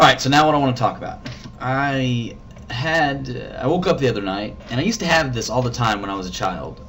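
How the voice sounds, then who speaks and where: A man mumbles at a fairly quick pace and a medium pitch with lively intonation. Audible room echo surrounds his voice. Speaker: vlogger. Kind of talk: casual vlog monologue. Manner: mumbling; halting.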